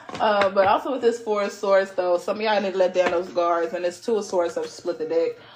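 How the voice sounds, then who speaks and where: With noticeable background noise behind her, a woman speaks at a medium pitch and a fairly quick pace. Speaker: tarot reader podcast host. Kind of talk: casual tarot reading monologue. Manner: casual, filler-heavy.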